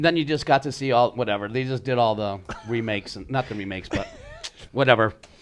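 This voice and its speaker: Very fast speech with big swings in loudness plays over noticeable background noise. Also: man, medium pitch for a man, ordinary pitch variation. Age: 60s. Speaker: podcast co-host. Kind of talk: casual chat.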